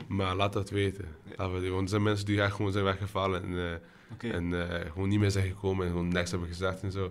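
Speaking at a very fast pace, the man has a very deep, low pitch and a monotone, flat intonation. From Brazil. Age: 20s. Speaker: student project leader. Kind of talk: casual chat.

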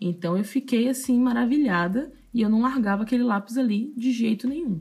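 The voice is somewhat breathy with a dark, mellow tone, moving at a fairly quick pace with lively intonation in a very clean recording with a silent background. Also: woman. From Salvador, Bahia, Brazil. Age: 20s. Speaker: tattoo artist and podcast host. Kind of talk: casual solo storytelling.

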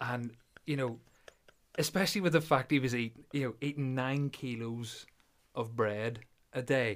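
Long, frequent pauses break up moderately paced speech in a Northern Irish accent with ordinary pitch variation. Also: man, medium pitch for a man. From Belfast, Northern Ireland. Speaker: podcast host and powerlifter. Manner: joking, self-deprecating.

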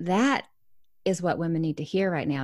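A plain, everyday voice, a woman's, fairly low in pitch with ordinary pitch variation. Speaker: author, speaker and business coach. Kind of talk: casual chat.

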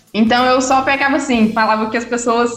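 Through noticeable background noise, a woman talks at a fairly quick pace with a fairly high pitch. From Minas Gerais, Brazil (Itabirito). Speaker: physiotherapist and breastfeeding consultant. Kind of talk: interview, personal story.

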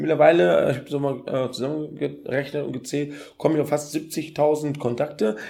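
This man's voice sits at a fairly high pitch. His pitch moves with ordinary variation. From Ghana. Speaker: event organizer and triathlete. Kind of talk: casual interview. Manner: fast.

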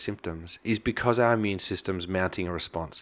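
Recorded very cleanly against a silent background, a man with an Australian accent speaks with ordinary pitch variation. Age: 40s. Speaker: chiropractor and nutritionist. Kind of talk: interview.

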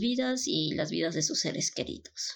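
A woman with a Mexican accent speaks at a moderate pace with vocal fry, in a very clean recording with a silent background. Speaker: podcast host. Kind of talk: casual monologue.

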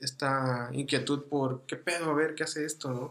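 Talking at a moderate pace, a man uses a monotone, flat intonation. He has a fairly high pitch and a Mexican accent. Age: 20s. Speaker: podcast host, amateur photographer. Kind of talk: casual chat.

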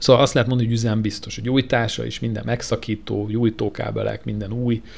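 A man speaks fairly quickly at a fairly low pitch. His intonation is fairly even, and the recording is very clean, with a silent background. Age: 30s. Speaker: podcast co-host, classic car owner. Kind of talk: casual chat. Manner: halting, many repetitions.

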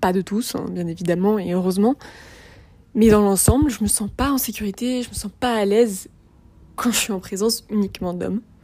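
At a moderate pace with long, frequent pauses, a woman talks at a medium pitch with ordinary pitch variation. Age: 20s. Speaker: podcaster. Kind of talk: personal testimony.

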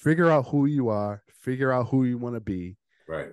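A man with a dark, mellow tone speaks at a moderate pace and a medium pitch with ordinary variation. The sound is dry and close with no echo, and the background is quiet. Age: late 30s. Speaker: podcast host. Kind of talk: casual podcast conversation.

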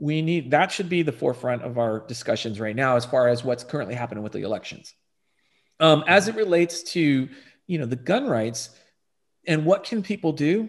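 Over a quiet background, a man with an American accent speaks fairly quickly at a fairly high pitch, his voice making very wide pitch swings. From Texas. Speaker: firearms instructor. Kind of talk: interview.

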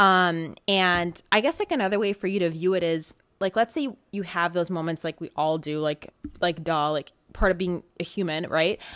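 In a very clean recording with a silent background and a dry, close sound with no echo, a woman with an ordinary speaking voice talks at a moderate pace, her fairly low pitch showing ordinary pitch variation. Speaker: podcast host. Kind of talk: solo monologue, motivational self-help talk. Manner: filler-heavy, chatty, affectionate.

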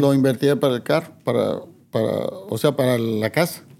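A man is speaking. His tone is dark and mellow. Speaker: music promoter. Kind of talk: interview.

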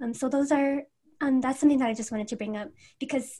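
A woman with an American accent speaks in a high pitch with ordinary pitch variation. She is soft-spoken. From Everett, Washington, US. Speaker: podcast co-host. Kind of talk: casual chat.

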